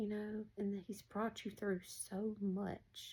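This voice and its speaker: A woman speaks at a very slow pace in a dark, mellow, somewhat breathy tone. Her intonation stays monotone and flat. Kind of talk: casual spiritual encouragement talk. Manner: casual, conversational.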